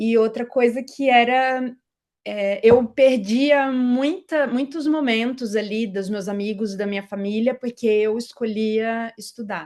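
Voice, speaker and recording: A woman talks very slowly, her fairly high pitch varying in an ordinary way. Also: quiet background. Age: 30s. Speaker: tax auditor, exam-pass interviewee. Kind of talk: interview.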